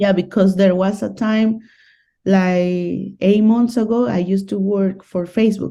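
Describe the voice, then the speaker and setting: A woman with a Spanish accent talks at a fairly slow pace and a medium pitch in a dark, mellow tone. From Colombia, Medellin. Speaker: guest on dating channel. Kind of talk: casual interview.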